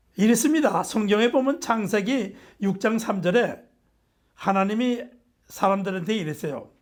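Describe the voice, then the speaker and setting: A man's high-pitched voice at a fairly slow pace, with long, frequent pauses and audible room echo. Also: ordinary pitch variation. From South Korea. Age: 80s+. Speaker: nutrition professor. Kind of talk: lecture.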